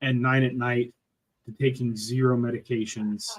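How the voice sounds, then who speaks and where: Fairly slow and somewhat breathy, a man speaks at medium pitch with fairly even intonation. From Appalachia. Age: 60s. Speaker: carnivore diet YouTuber. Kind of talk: casual chat.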